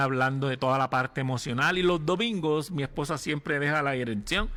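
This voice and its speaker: A man with a plain, everyday voice, fairly high-pitched, at a moderate pace. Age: 60s. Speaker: pastor. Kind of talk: sermon.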